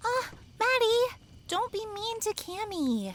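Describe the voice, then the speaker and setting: Using a put-on character voice, a woman speaks at an extremely high pitch. She talks at a fairly slow pace with ordinary pitch variation. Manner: upbeat.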